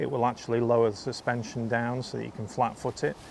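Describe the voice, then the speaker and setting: This is a man. He speaks with a Lancashire accent. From northern England (North Lancashire). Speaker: motorcycle vlogger. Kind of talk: casual vlog review. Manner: casual, many fillers.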